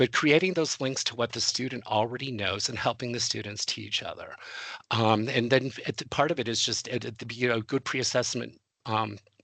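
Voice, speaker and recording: Vocal fry runs through this man's medium-pitched voice, which has a bright, sharp tone. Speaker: webinar presenter for adjunct faculty. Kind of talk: webinar presentation. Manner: fast; halting, many fillers and repetitions.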